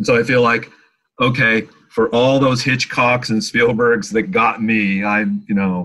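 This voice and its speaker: With an American accent, a man speaks at a fairly slow pace in a bright, sharp tone, with medium pitch and ordinary pitch variation. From upstate New York. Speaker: TV screenwriter and producer. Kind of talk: interview. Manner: halting.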